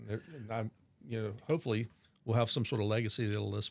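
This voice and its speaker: A man with an American accent, medium pitch and vocal fry, at a very fast pace. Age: 60s. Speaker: wine shop and restaurant owner. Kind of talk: interview conversation.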